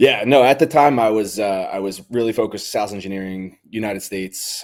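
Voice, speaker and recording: Speaking at a moderate pace with hardly any pauses, a man with a Philadelphia accent uses a fairly low pitch with ordinary variation and big swings in loudness. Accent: Philadelphia American English. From US, Philadelphia area. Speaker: cybersecurity professional. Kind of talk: casual chat.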